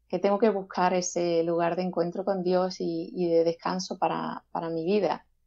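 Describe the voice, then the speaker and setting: A woman talks fairly slowly, her pitch medium. She has an unremarkable speaking voice with fairly even intonation. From Seville, southern Spain. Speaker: gospel singer-songwriter. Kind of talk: interview.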